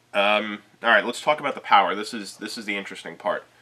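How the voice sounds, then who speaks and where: Noticeable background noise accompanies a man speaking at a fairly low pitch. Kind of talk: tutorial.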